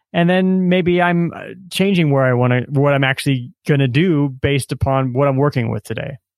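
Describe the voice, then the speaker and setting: Using an ordinary speaking voice with an American accent, a man talks at a moderate pace with hardly any pauses, his fairly high pitch showing ordinary pitch variation. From US Midwest. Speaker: author and self-publishing coach. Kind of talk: casual interview conversation. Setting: remote call.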